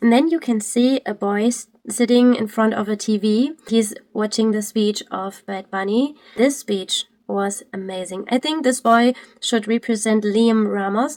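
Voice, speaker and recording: A woman with a German accent speaks at a fairly slow pace. Her pitch is fairly high, with ordinary pitch variation. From Germany. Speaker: Twitch streamer. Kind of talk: video commentary. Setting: live stream. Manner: halting.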